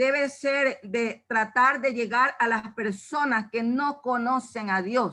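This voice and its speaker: The tone is bright and sharp. The pace is very slow, with ordinary pitch variation. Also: woman. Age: 70s. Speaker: church member giving Bible study. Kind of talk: Bible study talk.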